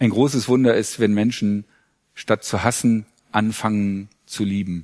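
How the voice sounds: Fairly low in pitch, a man speaks at a fairly slow pace. His tone is slightly mellow and his intonation fairly even.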